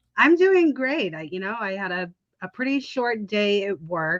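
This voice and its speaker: With a New York accent, a woman talks with lively intonation. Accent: New York-sounding. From Chicago. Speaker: caller, maid. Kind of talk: casual chat.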